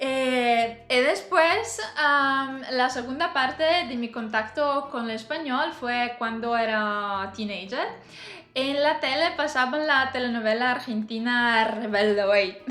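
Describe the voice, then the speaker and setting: A woman with a non-native accent talks at a very slow pace in a high pitch. Her pitch varies in an ordinary way, and audible room echo is present. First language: not Spanish (speaking Spanish). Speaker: language learner vlogger. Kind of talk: personal vlog monologue. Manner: halting, many fillers.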